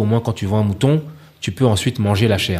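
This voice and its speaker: Somewhat breathy and fairly low-pitched, a man talks at a fairly quick pace with ordinary pitch variation. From Paris, France (Ivorian parents). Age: 30s. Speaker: chef. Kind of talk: casual interview.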